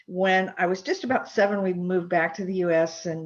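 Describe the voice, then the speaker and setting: A woman with an American accent and fairly even intonation. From US, childhood partly in Germany. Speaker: historical reenactment craftsperson. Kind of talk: interview. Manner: slow, thoughtful.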